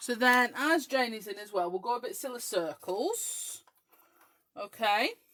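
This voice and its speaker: With an English accent, a woman speaks in a high pitch with very wide pitch swings. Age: 30s. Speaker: craft demonstrator. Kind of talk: live-stream craft chat. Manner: animated.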